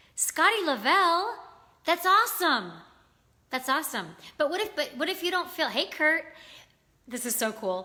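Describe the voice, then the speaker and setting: Raised and projected, a woman's extremely high, bright, sharp voice makes very wide pitch swings, broken by long, frequent pauses. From US South, Virginia. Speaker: livestream talk show host. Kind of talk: casual live chat. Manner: fast.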